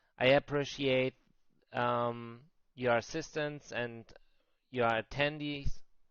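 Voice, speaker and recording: A man with a German accent, medium in pitch, very slow, with fairly even intonation. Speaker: crypto trading streamer. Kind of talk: live stream market talk. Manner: halting, with many fillers and repeats.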